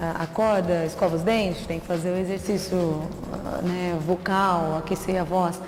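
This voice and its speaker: A woman speaks fairly slowly in a fairly low, flat, monotone voice, with audible room echo and noticeable background noise. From São Paulo interior (Catanduva). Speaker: TV reporter. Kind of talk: interview.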